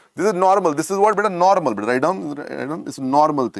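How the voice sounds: Fast and lively in intonation, a man speaks with a fairly high pitch. Vocal fry runs through his voice.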